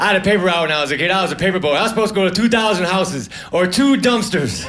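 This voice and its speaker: Over noticeable background noise, a man talks very fast in a high voice with an American accent. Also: ordinary pitch variation. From United States. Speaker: stand-up comedian. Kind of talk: stand-up comedy set.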